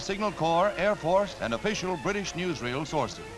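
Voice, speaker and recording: Over music in the background, a man with an American accent speaks at a fairly quick pace in a high voice with ordinary pitch variation. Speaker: newsreel narrator. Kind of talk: wartime newsreel narration.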